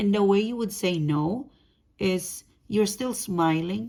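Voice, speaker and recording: A woman with a non-native accent talks at a medium pitch in a dark, mellow tone with ordinary pitch variation. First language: not English. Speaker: tarot reader. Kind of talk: tarot reading monologue. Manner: casual, conversational; halting, self-correcting.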